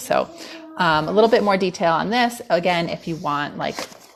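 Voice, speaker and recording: Lively intonation over music in the background. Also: woman. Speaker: wellness coach. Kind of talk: live stream talk. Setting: home dining room. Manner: fast; casual, many fillers.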